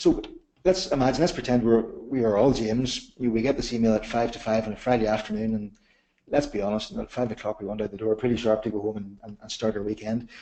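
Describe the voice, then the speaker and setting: At a very fast pace, a man with a Northern Irish accent speaks at medium pitch with ordinary pitch variation and a dark, mellow tone. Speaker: software company manager presenting a webinar. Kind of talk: webinar product demonstration. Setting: online webinar. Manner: repeats words often.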